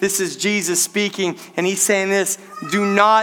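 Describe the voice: Fairly even intonation in plain reading aloud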